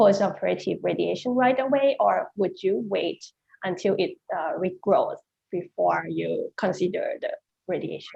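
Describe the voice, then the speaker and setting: A woman speaks at a fairly slow pace with a Thai accent. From Thailand. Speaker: neurosurgeon. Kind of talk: panel discussion question.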